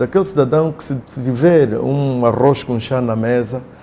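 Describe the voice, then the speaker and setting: A man speaks at a medium pitch. Background noise is noticeable behind him. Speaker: opposition party leader. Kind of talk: interview. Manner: formal.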